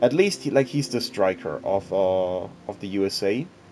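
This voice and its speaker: A man at a fairly slow pace with music in the background. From Switzerland. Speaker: gaming YouTuber. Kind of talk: casual gaming commentary. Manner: hesitant, many fillers.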